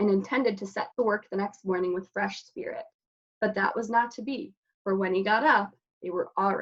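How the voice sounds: With ordinary pitch variation, a natural reading voice comes through over a quiet background.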